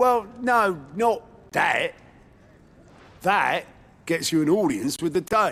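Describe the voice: This man puts on a character voice, fairly high-pitched, with big pitch swings. The tone is fairly bright with a slightly husky edge, and he speaks at a slow pace.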